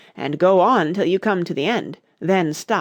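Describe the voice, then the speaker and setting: Putting on a character voice, a man speaks raspy and high-pitched at a moderate pace with ordinary pitch variation. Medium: read story. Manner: grave, pompous.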